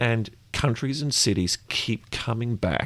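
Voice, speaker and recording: With an Australian accent, a man talks fairly slowly at a fairly low pitch with vocal fry, and the sound is dry and close with no echo. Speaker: podcast co-host and editor. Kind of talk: casual interview chat.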